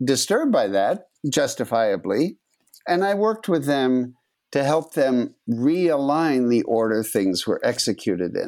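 His pitch swings very widely. Yet this man's loudness stays very even. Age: 70s. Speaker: computer scientist and statistician. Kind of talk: interview. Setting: video call.

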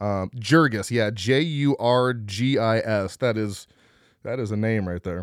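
On a very clean recording with a silent background, a man with an American accent talks at a fairly slow pace in a medium pitch with ordinary pitch variation, in a normal speaking voice. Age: 30s. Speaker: horror podcast host. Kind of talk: casual chat.

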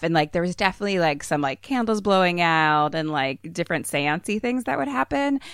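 A woman with an American accent speaks at a very fast pace and a fairly low pitch, on a very clean recording with a silent background and a dry, close sound with no echo. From Philadelphia, US. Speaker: horror comedy podcaster with theater training. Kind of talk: casual chat.

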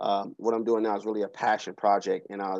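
This man talks at a very fast pace with an American accent, in a flat monotone. His tone is dark and mellow, and his pitch is fairly low. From US Pacific Northwest, Seattle. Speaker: youth development speaker. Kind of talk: casual interview. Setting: remote call from office.

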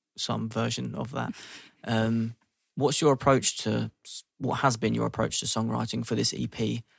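A man with a London accent speaks at a moderate pace. The sound is dry and close, with no echo. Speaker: podcast host. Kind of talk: interview.

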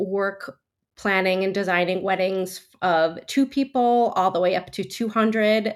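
In a New Jersey accent, the speaker keeps a fairly even intonation in a very clean recording with a silent background. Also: woman. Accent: American, New Jersey. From US Northeast, New Jersey. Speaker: wedding planner. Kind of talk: interview.

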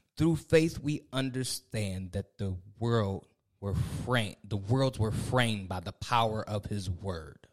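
This man has an ordinary speaking voice at a fairly low pitch. His pitch varies in an ordinary way. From Ohio. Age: 40s. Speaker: pastor and podcast co-host. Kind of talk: casual chat.

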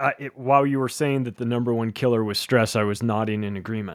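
This man has a normal speaking voice at a medium pitch, with ordinary pitch variation. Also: very clean recording, silent background. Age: 50s. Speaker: author and podcast host. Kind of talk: casual chat.

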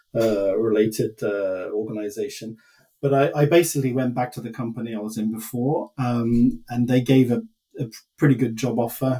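Moderately paced, this man's medium-pitched voice has a dark, mellow tone and fairly even intonation. It sounds somewhat breathy. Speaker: former consultant and business executive. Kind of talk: casual interview chat.

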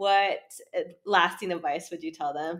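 A woman speaks at a moderate pace and medium pitch, in a plain, everyday voice. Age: 30s. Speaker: podcast host and photography coach. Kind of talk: casual chat. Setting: podcast interview.

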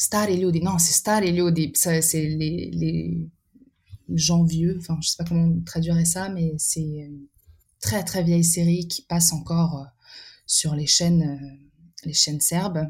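A woman speaks very slowly in a somewhat breathy voice with a fairly low pitch. Her intonation is monotone and flat, broken by long, frequent pauses. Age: 20s. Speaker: artist with exhibitions. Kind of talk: podcast interview. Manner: halting, many repetitions and fillers.

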